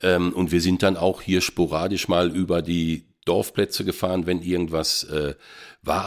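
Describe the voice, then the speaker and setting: The recording is very clean and the background silent. Speech moves at a moderate pace. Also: man. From western Germany, between Dortmund and Münster. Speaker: football commentator. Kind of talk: casual interview.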